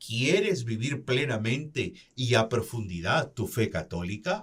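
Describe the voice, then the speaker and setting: A man talks at a very slow pace. His voice has vocal fry. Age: 60s. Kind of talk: religious reflection.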